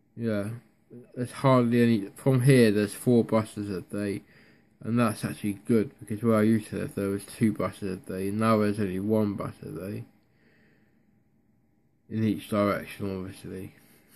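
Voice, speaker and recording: A man with a Devon accent, fairly low in pitch, monotone and flat, at a moderate pace with long, frequent pauses. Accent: Devon (West Country English). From North Devon, England. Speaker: vlogger. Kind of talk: casual talk to camera. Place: home room. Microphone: phone near.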